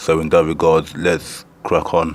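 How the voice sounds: Here a man speaks at an extremely low pitch. There is little pitch movement. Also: fairly slow pace.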